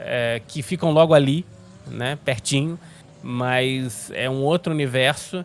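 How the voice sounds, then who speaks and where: A man speaks at a very slow pace. His pitch sits at a medium level with ordinary variation. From Rio de Janeiro, Brazil. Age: 30s. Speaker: sim racing commentator. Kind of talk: casual interview. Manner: halting.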